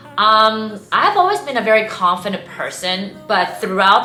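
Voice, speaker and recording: Amid noticeable background noise and audible room echo, a woman speaks with a Cantonese accent and ordinary pitch variation. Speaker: vlogger, former beauty queen. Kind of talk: casual vlog talk. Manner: casual, filler-heavy.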